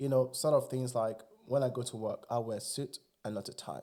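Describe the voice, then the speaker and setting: A man's medium-pitched voice with a dark, mellow tone at a fairly quick pace. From Nigeria. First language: Igbo. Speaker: immigrant sharing experiences. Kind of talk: casual interview chat. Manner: animated.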